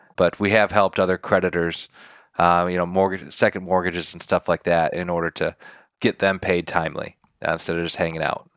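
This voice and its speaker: A man with an American accent, very deep and low in pitch, fairly quick in pace, with monotone, flat intonation, in a very clean recording with a silent background and a dry, close sound with no echo. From Detroit, Michigan. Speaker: probate attorney. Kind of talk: podcast interview, explaining legal topics.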